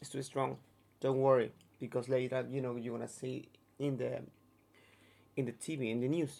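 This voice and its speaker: At a moderate pace, a man with a medium pitch and a dark, mellow tone speaks with monotone, flat intonation. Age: 30s. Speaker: touring performer. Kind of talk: interview. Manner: halting.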